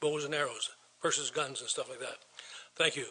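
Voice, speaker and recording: A man with an Ontario accent talks at a fairly quick pace. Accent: rural Ontario Canadian. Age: 70s. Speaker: farmer, delegation speaker at council. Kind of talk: public delegation address. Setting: council chambers, microphone. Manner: halting.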